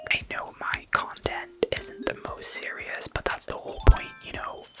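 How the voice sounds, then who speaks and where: Whispered speech moves at a moderate pace over noticeable background noise. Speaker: ASMR gaming streamer. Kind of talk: casual chatty gameplay commentary with viewers. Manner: whispery, soft-spoken.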